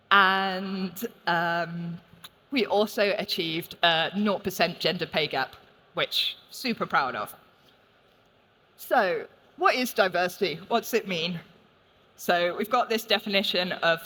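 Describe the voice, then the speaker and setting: A woman with a London accent speaks at a fairly slow pace, with long, frequent pauses. Her tone is bright and sharp, with ordinary pitch variation. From London, England. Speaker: games industry executive. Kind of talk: conference talk. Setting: stage with audience.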